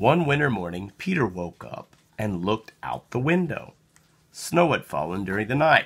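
A man talks at a fairly slow pace with big pitch swings, his fairly bright tone carrying a slightly husky edge.

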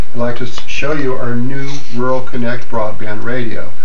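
There is light background noise. A man speaks over it at a moderate pace. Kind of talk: product demonstration. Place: office. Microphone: camera far.

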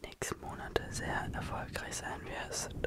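A soft-spoken man is whispering, with noticeable background noise. The sound is dry, with no echo. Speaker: ASMR creator. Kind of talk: soft ASMR sleep talk. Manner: soft ASMR whisper close to mic. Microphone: studio mic.

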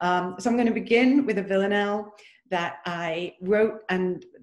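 A woman with ordinary pitch variation, audible room echo and a quiet background. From UK. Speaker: poet and poetry teacher; poet, poetry teacher. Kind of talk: poetry reading. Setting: video call. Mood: warm, pleased. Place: home room. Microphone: webcam.

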